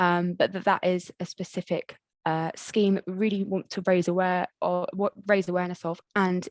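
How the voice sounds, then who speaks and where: A woman speaks at a medium pitch, the sound dry and close with no echo. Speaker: council community safety officer. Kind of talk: online meeting presentation. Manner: fast.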